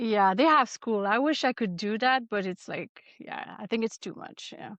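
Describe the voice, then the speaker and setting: Fairly high female voice in a Quebec accent, ordinary pitch variation, moderate pace, big swings in loudness and a dry, close sound with no echo. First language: French. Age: 40s. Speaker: ultrarunner. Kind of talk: interview. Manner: halting.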